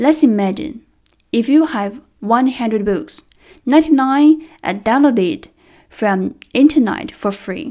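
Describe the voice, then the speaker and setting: In a Chinese accent, a woman speaks at a very slow pace with long, frequent pauses and lively intonation. Her voice is high-pitched with a dark, mellow tone, on a very clean recording with a silent background. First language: Mandarin Chinese. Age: 30s. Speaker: trainer. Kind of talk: prepared speech.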